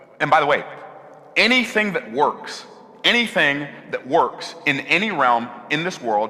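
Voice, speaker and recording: Against noticeable background noise, a man speaks fairly slowly with long, frequent pauses, his fairly high voice making very wide pitch swings. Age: 60s. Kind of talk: sermon.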